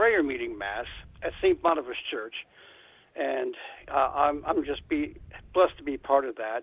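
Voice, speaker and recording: A man with an American accent at a moderate pace, with long, frequent pauses. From western Ohio. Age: 60s. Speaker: longtime listener and donor. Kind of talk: phone conversation. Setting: phone call. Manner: halting.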